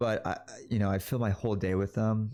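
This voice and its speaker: The man's fairly low voice keeps a fairly even intonation. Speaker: vlogger. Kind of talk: personal reflection monologue. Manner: fast; hesitant, filler words.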